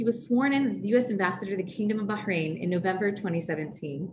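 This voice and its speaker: Amid noticeable background noise, a woman talks very fast. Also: ordinary pitch variation. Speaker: webinar host. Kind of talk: webinar introduction. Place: home room. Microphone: video call.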